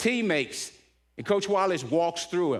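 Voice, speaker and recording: Very clean and set against a silent background, the recording captures a fairly quick pace and an animated tone. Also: man. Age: 70s. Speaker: motivational speaker at church men's event. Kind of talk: inspirational talk with personal story. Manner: animated storytelling; repeats words when excited.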